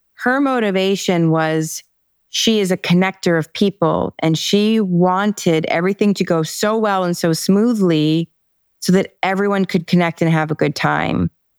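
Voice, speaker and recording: A woman speaks in a normal speaking voice at a moderate pace and medium pitch, with ordinary pitch variation and very even loudness. The recording is very clean with a silent background, and the sound is dry and close with no echo. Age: 50s. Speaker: author and personal development coach. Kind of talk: interview.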